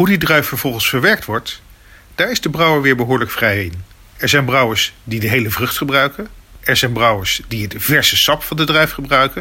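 Speech comes at a fairly quick pace in a Dutch accent. The intonation is lively. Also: man, medium pitch for a man. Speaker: beer video presenter. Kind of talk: documentary narration. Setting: on location at a beer competition.

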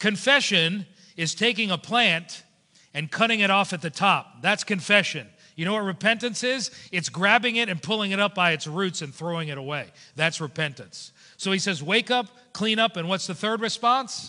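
A man with an American accent projects a raised voice, high-pitched with a bright, sharp tone. His pace is moderate, his pitch variation ordinary, and the background is quiet. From South Florida. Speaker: pastor. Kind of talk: sermon. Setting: church. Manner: animated.

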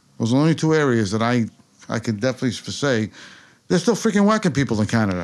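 A man with a New York accent, medium pitch and lively intonation. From New York, Queens (Rockaway Park). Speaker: author. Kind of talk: interview. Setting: office.

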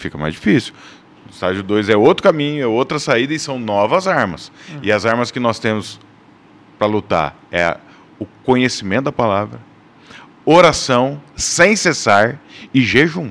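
With very wide pitch swings and long, frequent pauses, a man speaks at a moderate pace and medium pitch. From Brazil, Paraná (Londrina). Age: 40s. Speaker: church men's ministry leader. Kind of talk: casual chat.

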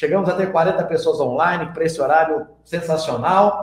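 A man's voice carries audible room echo. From Minas Gerais, Brazil. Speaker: investment youtuber. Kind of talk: interview.

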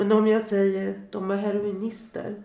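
With audible room echo around her, a woman speaks at a medium pitch. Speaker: bereaved mother. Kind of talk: testimony. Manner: reading aloud.

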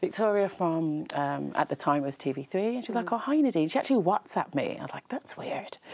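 A woman speaks at a medium pitch and a fairly quick pace. Her pitch swings very widely, with hardly any pauses. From Birmingham, England. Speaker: TV presenter and makeup artist. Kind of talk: casual interview chat. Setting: studio.

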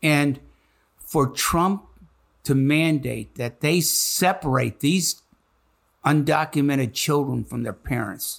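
Speaking very slowly with long, frequent pauses, a man with an American accent has a fairly high pitch, ordinary pitch variation and vocal fry. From Chicago, US Midwest. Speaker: retired high school history teacher, school board member. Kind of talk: interview conversation.

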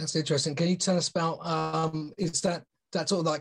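Somewhat breathy and fairly high in pitch, a man talks at a very fast pace. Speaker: podcast host. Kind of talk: casual interview.

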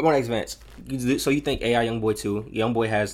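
A man with a medium pitch, ordinary pitch variation, and vocal fry is heard on a very clean recording with a silent background. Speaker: podcast host talking about music. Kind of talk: casual podcast chat about music.

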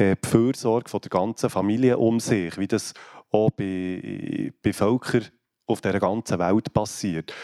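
Recorded very cleanly against a silent background, a man's dark, mellow voice at a fairly low pitch sounds dry and close, with no echo. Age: 40s. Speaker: care home director, former chef. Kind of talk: panel discussion.

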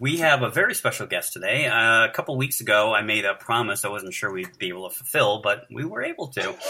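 A man speaks at a very fast pace with lively intonation and a medium pitch. Noticeable background noise sits behind him. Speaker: podcast co-host interviewer. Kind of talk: casual interview.

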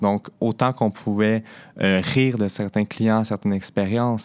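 A man's fairly low voice at a fairly slow pace, with fairly even intonation, dry and close with no echo, in a very clean recording against a silent background. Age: 20s. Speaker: sex worker. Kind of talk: personal testimony. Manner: halting.

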